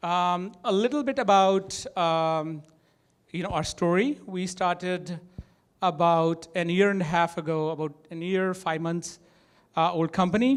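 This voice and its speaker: With a strong Indian accent, a man speaks fairly slowly at a high pitch with ordinary pitch variation. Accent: thick Indian. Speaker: tech startup co-founder and CTO. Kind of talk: conference talk. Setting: stage with audience. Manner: hesitant, many fillers.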